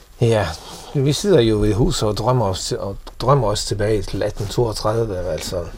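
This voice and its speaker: With a Faroese accent, a man speaks at a fairly slow pace in a medium pitch with ordinary pitch variation, amid noticeable background noise and audible room echo. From Faroe Islands. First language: Faroese (speaking Danish). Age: 50s. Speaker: businessman. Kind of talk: casual interview. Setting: at home in an old house. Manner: halting, many repeated words.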